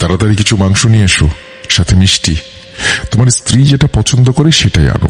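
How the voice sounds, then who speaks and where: A man puts on a raspy character voice, fairly low in pitch, at a moderate pace. Clear background noise runs underneath. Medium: read story. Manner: menacing, mocking.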